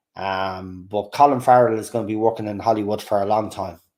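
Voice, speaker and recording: A man speaks with a Dublin accent at a fairly quick pace. The recording is very clean, with a silent background. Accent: soft Dublin. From Ireland, Dublin. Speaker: YouTube livestream host. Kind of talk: casual livestream chat reacting to comments. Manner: animated, hesitant with many fillers.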